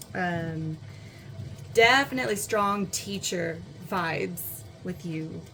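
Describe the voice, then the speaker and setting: Speaking at a very slow pace, a woman uses a medium pitch. There is audible room echo. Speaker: tarot reader. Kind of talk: pick-a-card tarot reading. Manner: casual, filler-heavy. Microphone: poor audio, looking for a new microphone.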